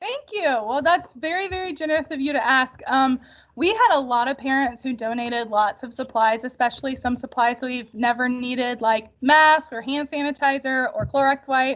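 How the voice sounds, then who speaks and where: A woman speaks in a high voice with ordinary pitch variation. She hardly pauses at all. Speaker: elementary school teacher. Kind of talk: parent information night talk. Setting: video call. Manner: fast.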